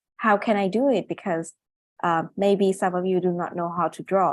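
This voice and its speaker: Against a quiet background, a woman with a non-native accent speaks at a medium pitch and moderate pace, her intonation fairly even. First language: not English. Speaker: neurosurgeon and medical illustrator. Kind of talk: webinar presentation. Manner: halting, many fillers.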